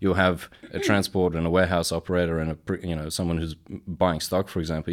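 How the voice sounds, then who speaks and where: In a very clean recording with a silent background, a man with a very deep, low pitch speaks at a very fast pace in a monotone, flat intonation. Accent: Australian. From Australia. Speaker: supply chain professional. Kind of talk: interview.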